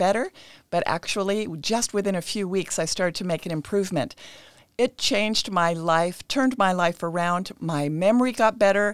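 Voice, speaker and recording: An unremarkable speaking voice with an American accent talks at a moderate pace with ordinary pitch variation. The very clean recording has a silent background and a dry, close sound with no echo. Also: woman. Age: 60s. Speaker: nutritionist. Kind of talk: interview. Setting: studio.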